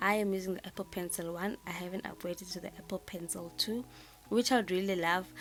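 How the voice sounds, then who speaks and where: In a South African accent, a woman talks at a very fast pace, medium in pitch, her intonation fairly even. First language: isiZulu. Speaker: planner designer, YouTuber. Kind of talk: tutorial. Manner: halting, many fillers and repeats.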